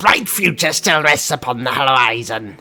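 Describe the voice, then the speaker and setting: The speaker uses a put-on character voice at low-to-middle pitch. Faint music plays in the background. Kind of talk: stern fantasy roleplay speech. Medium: game stream. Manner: scornful, unapologetic.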